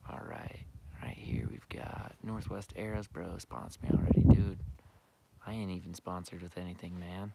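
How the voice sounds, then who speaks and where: Whispering, a man lets his loudness swing widely. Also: moderate pace. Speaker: archery and hunting YouTuber. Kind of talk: live stream Q&A. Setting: outdoors, turkey scouting. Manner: quiet, hushed; casual, filler-heavy.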